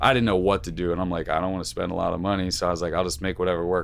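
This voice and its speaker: Very deep, low male voice with vocal fry and ordinary pitch variation. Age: 20s. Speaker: rock drummer. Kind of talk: casual chat.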